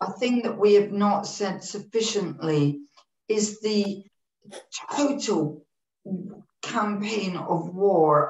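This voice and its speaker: A woman at a very slow pace, with ordinary pitch variation and audible room echo. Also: quiet background. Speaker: broadcasting executive; panelist. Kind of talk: online panel talk. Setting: video call. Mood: critical, earnest. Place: home room.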